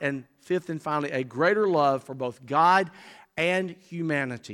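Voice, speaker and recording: In a very clean recording with a silent background, a man with an Alabama accent speaks in a high pitch, with a bright, sharp tone and lively intonation. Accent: US Southern (Alabama). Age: 60s. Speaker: Baptist convention executive and preacher. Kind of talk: sermon. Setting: church.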